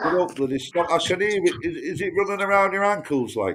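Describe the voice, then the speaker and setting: Noticeable background noise can be heard. Over it, a man talks at a fairly quick pace. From northern England. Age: 50s. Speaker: caller on a live chat stream. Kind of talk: casual chat.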